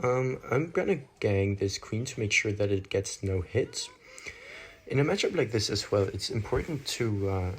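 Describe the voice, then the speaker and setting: His voice is somewhat breathy. The man keeps to a moderate pace. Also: medium pitch for a man, lively intonation. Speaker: gaming commentator. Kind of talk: gameplay commentary. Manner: casual, with fillers.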